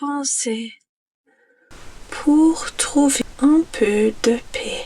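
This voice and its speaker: The speaker is soft-spoken, with a calm tone and a non-native accent. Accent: learner's accent speaking French. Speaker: ASMR creator. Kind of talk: ASMR relaxation guide, soft-spoken stress relief. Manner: soft-spoken, calm, slow.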